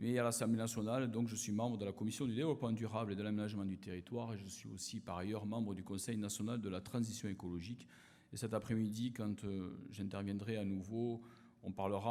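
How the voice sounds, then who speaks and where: In an Occitanie accent, a man with a fairly low pitch and a dark, mellow tone speaks at a fairly quick pace with fairly even intonation, with audible room echo. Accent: southern French (Occitanie). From southern France, Aveyron. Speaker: politician, former research chemist. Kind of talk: conference opening speech. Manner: hesitant, many fillers.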